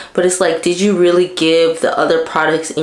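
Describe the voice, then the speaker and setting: Against noticeable background noise and audible room echo, a woman speaks at a fairly low pitch with monotone, flat intonation. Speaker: beauty vlogger. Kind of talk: casual vlog talk.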